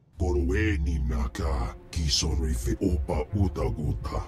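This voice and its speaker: A man speaks in a put-on character voice at a moderate pace. Clear music plays behind him. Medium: video game. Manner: speaks an alien language.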